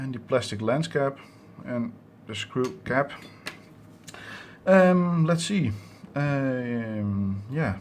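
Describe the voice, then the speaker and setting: A man's medium-pitched voice at a very slow pace, with lively intonation and long, frequent pauses. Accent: Dutch. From Netherlands. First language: Dutch. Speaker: electronics hobbyist YouTuber. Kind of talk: tutorial. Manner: halting, many fillers.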